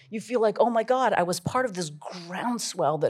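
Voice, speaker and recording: Lively in intonation, a woman speaks in an ordinary speaking voice in a very clean recording with a silent background. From Vancouver, Canada. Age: 50s. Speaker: author and former music manager. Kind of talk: live onstage interview. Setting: stage with audience.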